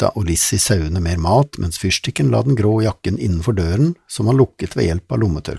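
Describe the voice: The text is read aloud plainly, carried by lively intonation.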